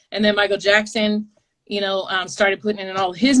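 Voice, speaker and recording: A woman speaks at a medium pitch with an American accent. She has a plain, everyday voice. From Texas, Dallas area. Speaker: street dancer. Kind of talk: interview. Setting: video call.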